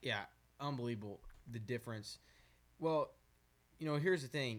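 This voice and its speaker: This man has a normal speaking voice with an American accent. His medium-pitched delivery moves at a moderate pace with ordinary pitch variation. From Arizona. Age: 18. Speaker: country singer. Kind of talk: podcast interview.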